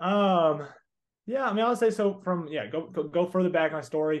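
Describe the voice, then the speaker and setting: A man with a slight Southern US accent, talking at a very fast pace. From Texas. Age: 20s. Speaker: entrepreneur and coaching student. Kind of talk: casual interview. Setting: call.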